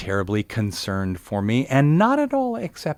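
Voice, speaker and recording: At a fairly slow pace, a man with an ordinary speaking voice and an American accent talks with ordinary pitch variation. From US Pacific Northwest, Portland, Oregon. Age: 60s. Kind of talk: radio interview.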